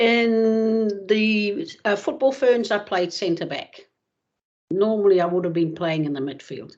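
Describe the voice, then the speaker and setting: Here a woman with a New Zealand accent speaks at a fairly slow pace. Her medium pitch carries lively intonation. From Netherlands, then New Zealand from childhood. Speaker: retired footballer. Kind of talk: interview. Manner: hesitant, many fillers.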